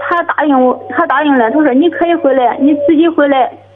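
A woman with a high pitch talks at a moderate pace, her intonation fairly even, over noticeable background noise. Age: 30s. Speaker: caller. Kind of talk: call-in advice conversation. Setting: phone call. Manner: halting.

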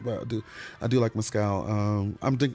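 An unremarkable speaking voice with an American accent moves at a fairly quick pace. The recording is very clean, with a silent background. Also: man. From Michigan, Detroit. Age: 40s. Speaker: comedian. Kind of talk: casual chat.

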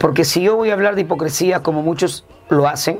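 A man's voice at a moderate pace with ordinary pitch variation, over noticeable background noise. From northern Peru, Chiclayo. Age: 50s. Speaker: street comedian. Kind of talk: interview. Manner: halting.

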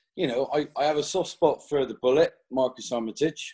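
A man with a West Country accent speaks in a dark, mellow tone. His intonation is lively and his pace moderate. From West Country, England. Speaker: podcast co-host, golfer. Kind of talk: casual chat. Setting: video call.

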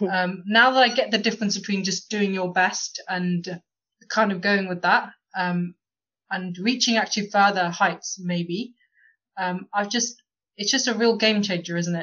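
This woman has an ordinary speaking voice at a medium pitch. She talks at a fairly slow pace with fairly even intonation. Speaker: podcast host. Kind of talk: casual discussion.

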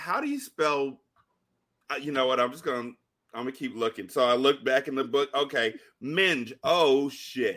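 A man's fairly high-pitched voice, bright and sharp in tone, with ordinary pitch variation, a moderate pace and long, frequent pauses, on a very clean recording with a silent background. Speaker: podcaster guest. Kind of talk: casual chat.

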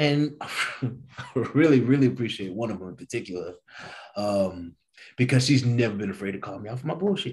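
In an American accent, a man talks at a fairly quick pace with a medium pitch, lively intonation, a somewhat breathy quality and big swings in loudness. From East St. Louis, Illinois. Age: 30s. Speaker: guest. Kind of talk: casual chat.

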